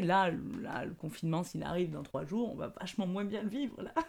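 A woman's fairly low-pitched voice with a dark, mellow tone, ordinary pitch variation and a fairly quick pace. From southern France. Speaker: improv actress. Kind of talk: casual interview. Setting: remote recording.

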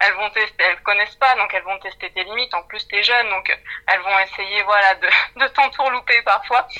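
With music in the background, a woman talks at a fairly quick pace, her medium pitch carried in a fairly even intonation. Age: 20s. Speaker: HR development manager. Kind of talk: interview.

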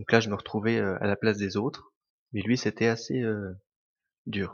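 A man with a fairly low pitch speaks at a moderate pace in monotone, flat intonation. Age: 20s. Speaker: restaurant manager. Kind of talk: testimony.

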